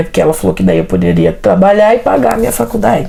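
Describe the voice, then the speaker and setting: A woman at a very fast pace amid noticeable background noise. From Brazil, Tocantins. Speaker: interview guest, environmental technologist. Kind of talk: interview, life story. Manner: casual, hesitant with fillers.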